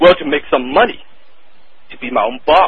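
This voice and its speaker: A man speaks in a Cantonese accent. His pitch is fairly high. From Hong Kong. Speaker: copywriter. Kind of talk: interview.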